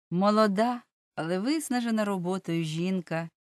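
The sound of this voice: The pitch varies in an ordinary way in an unforced reading voice. Little sound comes from the background.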